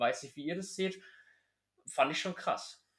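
The man keeps to a moderate pace. His recording is very clean, set against a silent background. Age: 20s. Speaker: podcast host. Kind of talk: casual chat. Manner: animated.

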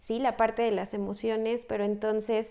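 A woman speaks at a fairly high pitch in a flat monotone. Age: 20s. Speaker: psychologist. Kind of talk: casual interview.

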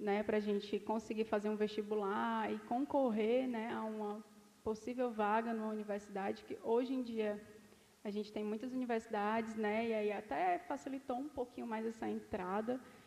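The woman uses an ordinary speaking voice, fairly high in pitch, and keeps a moderate pace. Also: fairly even intonation. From Ceará, Brazil. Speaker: dentist. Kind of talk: casual chat. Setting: studio.

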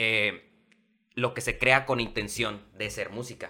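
The voice has a bright, sharp tone and a Mexican accent, moving at a fairly slow pace with monotone, flat intonation. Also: man. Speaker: television presenter. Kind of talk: casual chat.

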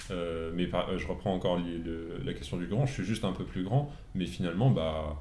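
With audible room echo around him, a man talks at a moderate pace in a very deep, low voice with lively intonation. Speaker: podcast guest, new father. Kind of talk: casual chat.

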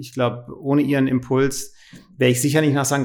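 Delivery moves at a moderate pace. Intonation stays monotone and flat throughout. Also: man. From Germany, Freiburg im Breisgau. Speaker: company CEO. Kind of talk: interview.

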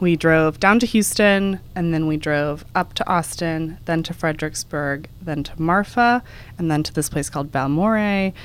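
Here is a plain, everyday voice from a woman at a fairly low pitch with ordinary pitch variation. The recording is very clean, with a silent background. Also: moderate pace. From Texas. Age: 20s. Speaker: podcast co-host, travel editor. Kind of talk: casual chat.

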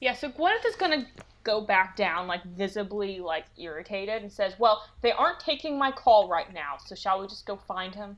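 A woman speaks at a moderate pace in a normal speaking voice, her pitch medium. Her loudness swings widely, and her intonation is lively. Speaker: player. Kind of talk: tabletop role-playing game session.

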